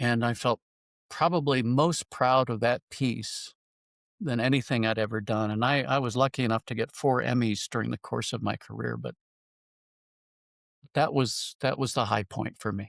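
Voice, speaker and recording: In a General American accent, a man speaks at medium pitch with vocal fry and long, frequent pauses, in a dry, close sound with no echo. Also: fairly even intonation, moderate pace, very clean recording, silent background. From Colorado, Denver. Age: 70s. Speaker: retired journalist and author. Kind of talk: casual interview.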